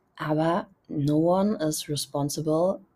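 Somewhat breathy and very slow, a woman talks with a very deep, low pitch and a dark, mellow tone. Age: 20s. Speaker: podcast host. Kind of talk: solo podcast monologue. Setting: outdoors on balcony.

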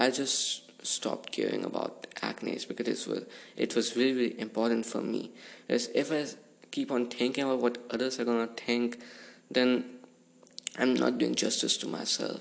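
Long, frequent pauses break up a man's medium-pitched speech, delivered at a moderate pace in a monotone, flat intonation. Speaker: podcast host. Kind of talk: casual monologue.

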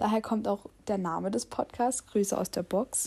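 This woman's voice has a dark, mellow tone, a medium pitch and ordinary pitch variation. The recording is very clean, with a silent background. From Saxony, Germany. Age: young. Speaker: travel podcaster. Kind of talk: casual monologue. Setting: home, sitting on a sofa.

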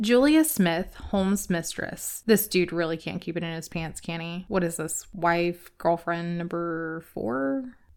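A woman with a normal speaking voice, fairly low in pitch, fairly slow, with ordinary pitch variation and hardly any pauses. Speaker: podcast host. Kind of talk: true-crime narration, scripted-sounding storytelling with light humor. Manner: measured, storytelling pace, conversational and wry; ominous, building suspense in the narration.

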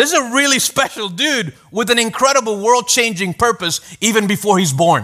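The voice is raised and projected, with a bright, sharp tone and lively intonation. It moves at a moderate pace with hardly any pauses, and the loudness stays very even. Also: man, high pitch for a man. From Venezuela. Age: 30s. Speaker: pastor. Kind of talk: sermon. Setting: church.

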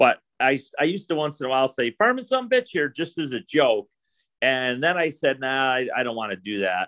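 With an American accent, the speaker has an unremarkable speaking voice, talking at a fairly quick pace with lively intonation. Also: man, fairly high pitch for a man. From New York State. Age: 50s. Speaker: farmer. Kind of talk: casual interview.

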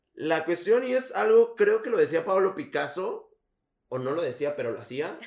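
At a moderate pace, a man speaks with a high pitch and very wide pitch swings. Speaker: podcast host. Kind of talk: casual chat.

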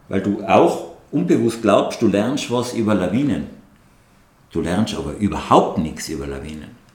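With audible room echo, a man of fairly low pitch speaks at a fairly slow pace, his pitch swinging very widely between long, frequent pauses. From Tyrol, Austria (Absam near Hall). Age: 60s. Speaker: mountain guide and avalanche expert. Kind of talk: podcast interview.

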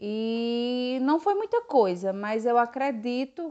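This is a woman speaking. Her pitch is high. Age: 40s. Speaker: volunteer, mask maker. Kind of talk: interview testimony. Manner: halting, with fillers.

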